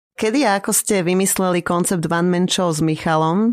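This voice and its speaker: A woman's plain, everyday voice, fairly low in pitch, with fairly even intonation at a moderate pace, in a very clean recording with a silent background. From Slovakia. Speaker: podcast co-host. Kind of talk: casual interview.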